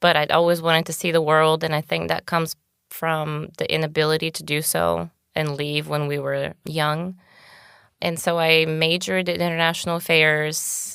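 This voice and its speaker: A woman's very deep, low voice at a moderate pace on a very clean recording with a silent background. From Bulgaria. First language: Bulgarian. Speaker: podcast guest. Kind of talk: interview.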